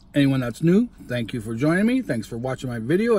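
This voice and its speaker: The voice is somewhat breathy, recorded dry with no echo. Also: man. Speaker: food vlogger. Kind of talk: casual vlog chat. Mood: warm, motivational. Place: car. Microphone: phone near.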